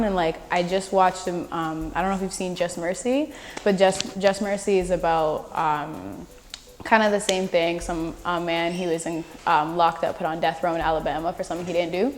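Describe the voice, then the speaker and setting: Over noticeable background noise, a woman with fairly low pitch speaks at a moderate pace with fairly even intonation. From Canada. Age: young. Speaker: spoken word poet. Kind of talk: interview answer. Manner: casual, conversational.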